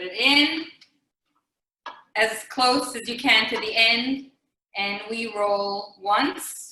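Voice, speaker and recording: A woman speaks at a very slow pace in a fairly high pitch, her tone bright and sharp. Her pitch variation is ordinary, with big swings in loudness. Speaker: rebbetzin cooking demonstrator. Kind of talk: cooking demonstration. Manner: casual, hesitant with fillers.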